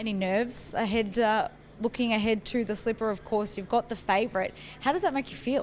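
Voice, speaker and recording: A woman's plain, everyday voice, fairly high in pitch, at a fairly quick pace with ordinary pitch variation. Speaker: racing interviewer. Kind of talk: interview question.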